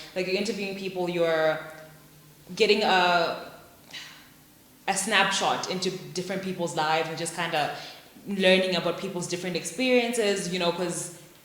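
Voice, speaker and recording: A woman's medium-pitched voice broken by long, frequent pauses, amid noticeable background noise and audible room echo. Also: moderate pace. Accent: American. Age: 20s. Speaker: podcaster. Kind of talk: casual chat. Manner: animated.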